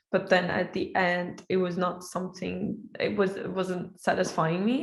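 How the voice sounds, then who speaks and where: A woman speaks with an Iranian accent. Her pace is fairly slow. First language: Persian. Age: 20s. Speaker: software engineer. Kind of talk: casual online interview. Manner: halting, many fillers.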